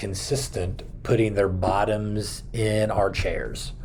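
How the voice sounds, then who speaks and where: Audible room echo around a man's somewhat breathy speech. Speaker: children's pastor. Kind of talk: video talk to fellow children's ministry leaders. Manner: casual, many fillers.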